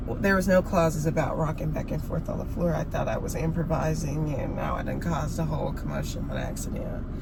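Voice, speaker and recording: A woman with an American accent speaks at a very fast pace. Audible room echo and noticeable background noise are present. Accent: sounds more country when sick. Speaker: vlogger. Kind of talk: casual chat. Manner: animated.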